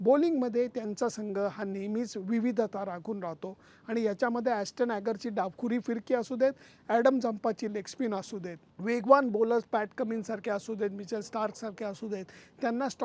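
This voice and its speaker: A man talks at a high pitch with fairly even intonation. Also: quiet background. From Pune, Maharashtra, India. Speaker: cricket journalist. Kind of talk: vlog commentary.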